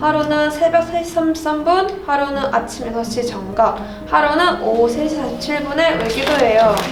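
Over noticeable background noise, a woman speaks high and with lively intonation. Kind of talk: storytelling read-aloud of a picture book.

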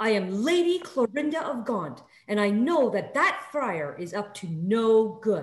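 A woman's put-on character voice, shrill and fairly high in pitch, with very wide pitch swings. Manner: imperious, indignant, screeching.

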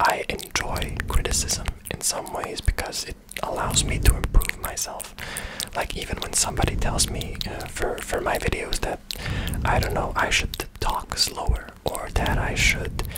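A soft-spoken man whispering at a fairly slow pace, amid loud background noise. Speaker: video creator. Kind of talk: casual vlog chat. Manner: soft close-mic ASMR whisper. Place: home room. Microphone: studio mic.

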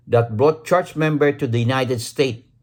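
Here a man at medium pitch speaks with lively intonation. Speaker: vlogger. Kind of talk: angry rant. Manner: indignant, sarcastic, repeats words for emphasis; rhetorical questions with exclamatory 'Ha? Huh?'.

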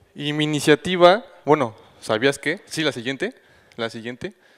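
A man's ordinary speaking voice, fairly high in pitch, with ordinary pitch variation and a quiet background. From Mexico City. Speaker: recycling initiative founder; conference presenter. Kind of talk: conference talk; panel Q&A. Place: hall. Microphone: handheld.

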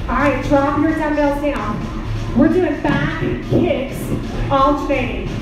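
Over clear background music, a woman speaks at a fairly slow pace with strong room echo. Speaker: fitness instructor. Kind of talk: workout instruction. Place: gym.

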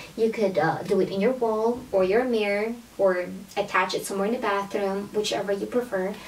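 Her delivery is moderate in pace, and this woman keeps her intonation fairly even. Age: 30s. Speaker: beauty vlogger. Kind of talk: sponsored product review vlog. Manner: casual, filler-heavy. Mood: enthusiastic. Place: home room.

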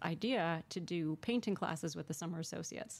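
An ordinary speaking voice from a woman with an American accent, fairly low in pitch, at a moderate pace. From Connecticut. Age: 50s. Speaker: painter; interviewee. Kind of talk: interview. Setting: studio.

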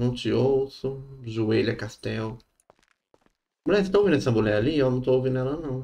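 This dark, mellow voice moves at a fairly quick pace with ordinary pitch variation and long, frequent pauses. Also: man. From Brazil. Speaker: gaming streamer. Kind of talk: live gaming stream. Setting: online stream with voice chat. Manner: animated. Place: home room. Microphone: studio mic.

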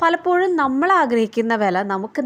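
The pitch of this woman rises and falls across a very wide range. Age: 20s. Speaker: YouTuber. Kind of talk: casual advice monologue.

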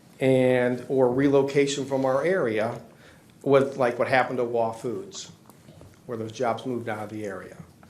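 A man's medium-pitched voice with fairly even intonation at a moderate pace, heard with audible room echo. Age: 60s. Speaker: business owner petitioner. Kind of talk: public hearing testimony. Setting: zoning board meeting. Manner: formal.

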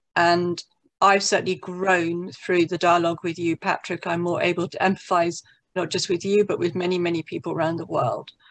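Fairly quick and fairly low-pitched, a woman speaks with monotone, flat intonation. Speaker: peace activist, daughter of bomb victim; interviewer or dialogue partner. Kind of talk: spontaneous remarks. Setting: video call. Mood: reflective, heartfelt. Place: home room. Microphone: video call.

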